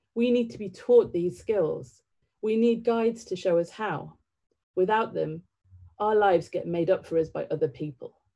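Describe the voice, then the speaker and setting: Over a quiet background, a woman speaks at a moderate pace with a medium pitch, ordinary pitch variation and a dark, mellow tone. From northern England (County Durham), born in Sri Lanka; northern England. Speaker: theatre director. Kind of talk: public talk. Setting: online livestream. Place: home room. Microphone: webcam.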